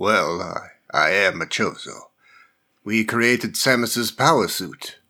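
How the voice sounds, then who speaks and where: A man puts on a raspy character voice at a medium pitch. He speaks at a fairly slow pace on a very clean recording with a silent background. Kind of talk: amateur audio drama reading. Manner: wise, storytelling, gently teasing.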